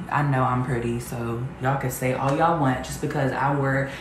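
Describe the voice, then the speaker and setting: A woman's very deep, low voice at a moderate pace, monotone and flat, with noticeable background noise and audible room echo. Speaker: vlogger. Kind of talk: casual vlog chat, reading comments aloud. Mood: sassy, confident. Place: home room. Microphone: camera far.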